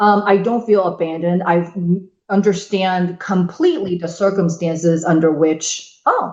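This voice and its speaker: In a Chinese accent, a woman speaks at a moderate pace and medium pitch with monotone, flat intonation. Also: hardly any pauses. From China (Shanghai), moved to US at 13. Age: 50s. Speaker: podcast guest. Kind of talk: casual chat. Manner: loud.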